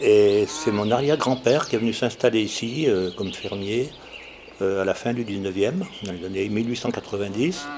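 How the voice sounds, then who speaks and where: A moderate pace and ordinary pitch variation, with noticeable background noise. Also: man, fairly low pitch for a man. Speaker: farmer. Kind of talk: interview testimony.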